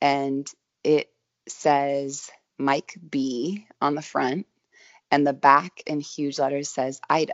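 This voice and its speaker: A woman with an American accent, very deep and low in pitch, monotone and flat, at a very slow pace. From Northern California, Sonoma area. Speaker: vintage clothing shop founder. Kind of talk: casual interview. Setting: remote interview from her studio space.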